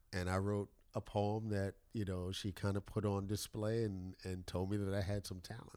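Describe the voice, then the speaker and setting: A man speaks in an American accent. His pitch is fairly low and his intonation monotone and flat. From New York City, the Bronx. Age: 50s. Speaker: professor. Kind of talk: casual interview conversation. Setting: at the host's home. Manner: articulate, clear enunciation.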